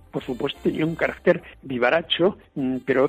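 A man is speaking. His pace is moderate. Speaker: priest. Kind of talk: talk on a saint's life.

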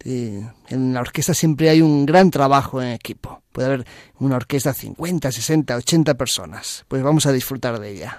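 Delivered at a fairly slow pace, a normal speaking voice shows big swings in loudness on a very clean recording with a silent background. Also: man, medium pitch for a man, ordinary pitch variation. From Galicia, Spain (A Coruña). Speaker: pianist and composer. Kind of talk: radio interview.

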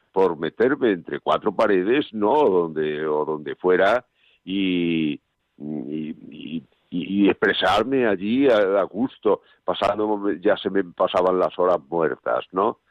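A man with a very deep, low voice speaks at a very slow pace. His intonation is lively. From Extremadura, Spain (Monesterio, Badajoz). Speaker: painter. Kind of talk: interview.

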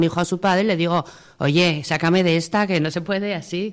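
Fairly even intonation at a moderate pace in a normal speaking voice. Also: woman. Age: 50s. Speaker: widow, mother of four. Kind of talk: testimony.

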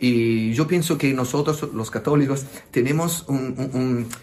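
A man speaks at a very slow pace with a medium pitch. His intonation stays fairly even. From southern Italy, Naples. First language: Italian (speaking Spanish). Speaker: priest. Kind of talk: interview. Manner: halting.

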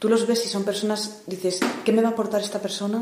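Flat, monotone delivery against noticeable background noise. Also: woman. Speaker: young woman retreat participant, art student.

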